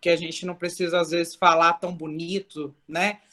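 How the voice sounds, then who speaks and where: A woman talks at a moderate pace. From Brazil, São Paulo. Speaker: church member. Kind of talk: testimony. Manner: loud, expressive.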